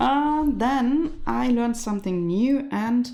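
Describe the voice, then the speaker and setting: A woman's dark, mellow tone at a fairly high pitch, with audible room echo. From Germany. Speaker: knitting streamer. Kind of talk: live stream chat. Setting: live stream on camera.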